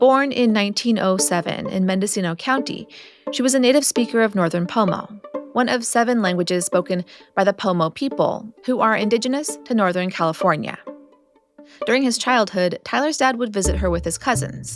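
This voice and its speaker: Music plays in the background as a woman speaks at a fairly quick pace. Her medium pitch carries lively intonation. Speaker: podcast host. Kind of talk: podcast narration.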